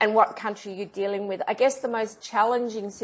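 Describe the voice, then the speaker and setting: A woman is speaking. She has an Australian accent. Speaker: investigative journalist and TV producer. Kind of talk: interview answer.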